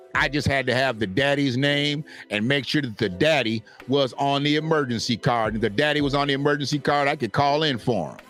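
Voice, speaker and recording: Over noticeable background noise, a man speaks at a fairly quick pace in a fairly high voice. His loudness stays very even, with ordinary pitch variation. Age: 50s. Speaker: commentary show host. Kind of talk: casual commentary monologue.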